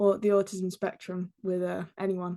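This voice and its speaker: A woman's medium-pitched voice in an English accent, moderate pace, fairly even intonation. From England. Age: 20s. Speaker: YouTuber and stage performer. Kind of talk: podcast interview. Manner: hesitant, many fillers.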